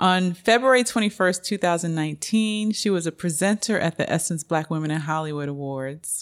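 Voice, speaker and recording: The recording is very clean with a silent background. A woman with a fairly low pitch and ordinary pitch variation talks at a fairly quick pace. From New York, Queens. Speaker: magazine editor. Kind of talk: scripted introduction; interview.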